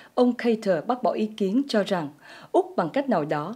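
A woman talks in a dark, mellow tone at a moderate pace. The background is quiet. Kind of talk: news reading. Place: studio.

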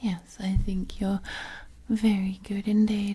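Soft-spoken delivery at a very slow pace. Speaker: audio roleplay voice actor. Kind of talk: soothing roleplay monologue. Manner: soft, intimate ASMR murmur, affectionate.

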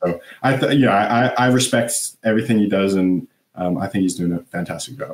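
Over audible room echo, a man talks at a fairly quick pace with a fairly low pitch and ordinary pitch variation. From Canada. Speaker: elite swimmer; guest. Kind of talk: casual interview. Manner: halting, many fillers.

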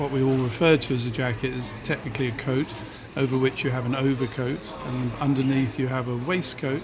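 Noticeable background noise fills the recording. Through it, a man speaks at a medium pitch. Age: 60s. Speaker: restaurateur. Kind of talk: interview. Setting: restaurant. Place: cafe. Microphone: studio mic.

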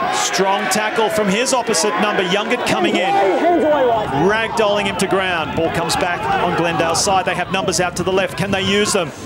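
Over noticeable background noise, a man with a high pitch speaks at a moderate pace and very even loudness. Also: ordinary pitch variation. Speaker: rugby match commentator. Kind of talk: live commentary.

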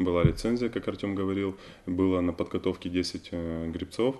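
Against a quiet background, a man talks in a very deep, low voice. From Ukraine, Kherson region. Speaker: Olympic rower. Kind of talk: studio interview. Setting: TV studio. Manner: halting with many fillers.

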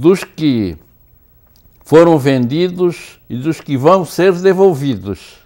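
A man's dark, mellow tone at a very slow pace, with lively intonation over a quiet background. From Brazil, Biguaçu, Santa Catarina; Santa Catarina, Brazil. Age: 80s+. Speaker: writer and journalist; journalist. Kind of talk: interview. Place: studio.

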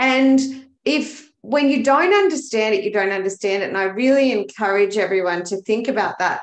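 A woman's fairly high voice with an Australian accent and lively intonation at a moderate pace, over a quiet background with audible room echo. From Australia, Melbourne. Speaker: bookkeeper, business coach and dancer; business coach. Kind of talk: casual interview chat. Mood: earnest, enthusiastic. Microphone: webcam.

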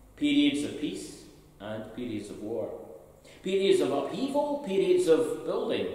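A man speaks slowly with big pitch swings and a slightly mellow tone. Strong room echo surrounds his voice.

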